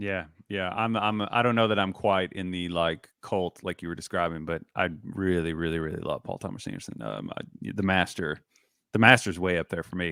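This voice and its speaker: Speaking at a moderate pace with a Southern US accent, a man uses a very deep, low voice and fairly even intonation. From US South. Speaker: basketball analyst, podcast and video host. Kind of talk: casual chat.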